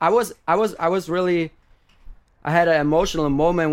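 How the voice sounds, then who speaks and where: A very clean recording with a silent background, carrying a man's moderate-paced speech and ordinary pitch variation. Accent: German. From Germany. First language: German. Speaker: DJ. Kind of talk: interview. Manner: halting.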